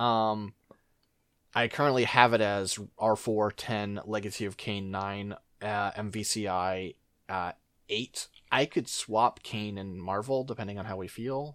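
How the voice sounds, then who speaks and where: On a very clean recording with a silent background, a man with an unremarkable speaking voice talks at a fairly slow pace and a fairly low pitch. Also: fairly even intonation. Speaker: podcast host. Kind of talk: casual chat.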